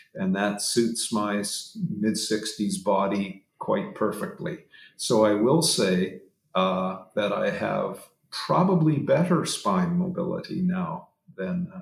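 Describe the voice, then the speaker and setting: Very slowly, a man speaks with vocal fry and very wide pitch swings. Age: 60s. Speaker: back pain scientist and professor. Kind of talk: podcast interview.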